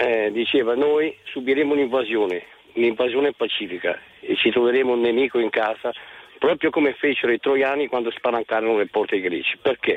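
A man at a fairly quick pace with ordinary pitch variation and very even loudness, plus noticeable background noise. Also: medium pitch for a man. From Lecco, Lombardy, Italy. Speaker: radio caller. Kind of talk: phone-in opinion.

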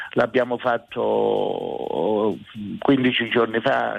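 This is a man's voice. Noticeable background noise can be heard. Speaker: town mayor. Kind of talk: radio interview. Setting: remote radio link.

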